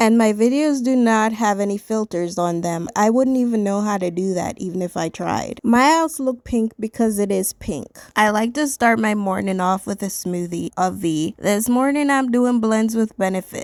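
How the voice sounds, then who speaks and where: The speaker talks at a moderate pace with hardly any pauses. The sound is dry and close with no echo, on a very clean recording with a silent background. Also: woman, fairly high pitch for a woman, ordinary pitch variation. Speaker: lifestyle vlogger. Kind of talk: casual vlog voice-over. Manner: speaking without her usual accent.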